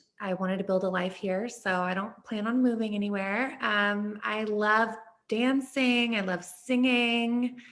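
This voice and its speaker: A woman talks at a fairly slow pace in a flat monotone, her pitch medium. Room echo can be heard. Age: 20s. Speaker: plus-size model. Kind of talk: interview. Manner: halting.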